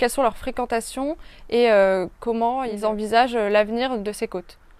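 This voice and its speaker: At a high pitch and a fairly quick pace, a woman speaks with ordinary pitch variation. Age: 20s. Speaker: geography student. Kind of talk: interview. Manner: hesitant, many filler sounds.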